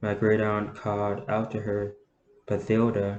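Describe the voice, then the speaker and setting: A man's fairly low-pitched voice at a very slow pace. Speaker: amateur audiobook reader. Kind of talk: novel reading.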